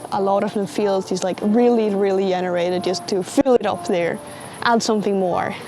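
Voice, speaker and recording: Over music in the background, a woman with a Swedish accent talks at a medium pitch with ordinary pitch variation. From Sweden. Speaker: vlogger. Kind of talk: casual commentary.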